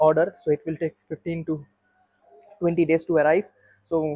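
The speech moves at a fairly quick pace against a quiet background. The sound is dry, with no echo. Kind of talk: casual vlog chat. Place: workshop. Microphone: phone near.

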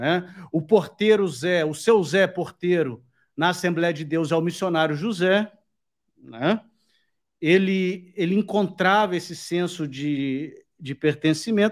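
A man speaks very slowly at a high pitch, with ordinary pitch variation. The background is quiet. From Brazil. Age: 40s. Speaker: YouTube host. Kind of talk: live interview. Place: home room. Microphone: studio mic.

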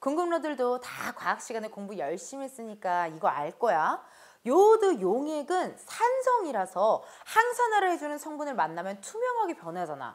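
A woman speaks at a high pitch with very wide pitch swings and big swings in loudness. Her tone is animated and her pace moderate. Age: 30s. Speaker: entertainer hosting sponsored beauty segment. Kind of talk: sponsored product review. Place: studio. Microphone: lapel.

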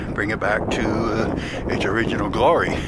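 A man is speaking. Loud background noise sits over a dry sound with no echo. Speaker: walking tour narrator. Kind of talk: casual tour commentary. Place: waterside. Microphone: phone near.

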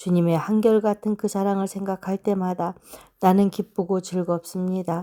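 A woman's medium-pitched, monotone voice at a moderate pace, flat in intonation, dark and mellow in tone, with a dry, close sound and no echo. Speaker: Bible reader. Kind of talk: reading aloud.

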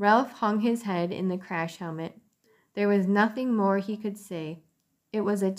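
In an unforced reading voice with ordinary pitch variation, the speaker reads over a quiet background.

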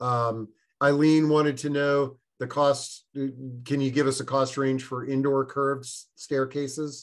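Against a quiet background, a man speaks at a fairly slow pace in a monotone, flat intonation. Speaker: webinar host. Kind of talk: moderated live webinar discussion. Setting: online video webinar. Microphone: video call.

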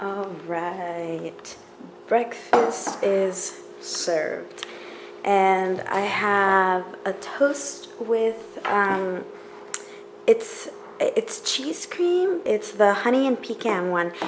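A woman speaks at a very slow pace over light background noise. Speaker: vlogger. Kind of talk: casual vlog chat. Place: kitchen. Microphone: phone near.

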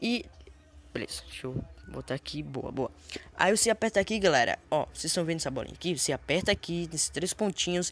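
A woman talks at a fairly quick pace with vocal fry. Her pitch swings very widely. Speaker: gaming youtuber. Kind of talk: tutorial. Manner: fast.

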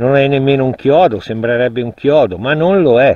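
Dry, echo-free sound from a man speaking. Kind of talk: casual vlog commentary. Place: forest. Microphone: phone near.

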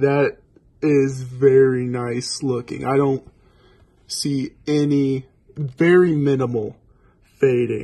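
Very slowly and with long, frequent pauses, a man speaks at a medium pitch in a monotone, flat intonation. His tone is dark and mellow, and the background is quiet. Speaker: gaming YouTuber. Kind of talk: pack opening video. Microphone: phone near.

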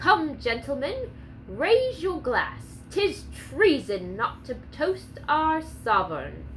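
A woman's put-on character voice at a very slow pace, with clear background noise. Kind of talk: refined, archaic. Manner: commanding, courteous.

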